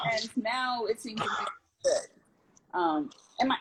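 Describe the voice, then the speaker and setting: The woman's voice is somewhat breathy. Her pitch makes very wide swings. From US Northeast, Teaneck, New Jersey. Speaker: city council member. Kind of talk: interview. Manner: soft-spoken.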